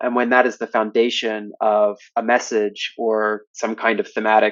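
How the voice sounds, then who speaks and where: A man speaks at a medium pitch. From Canada. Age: 20s. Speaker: art student. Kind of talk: interview. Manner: hesitant, many fillers.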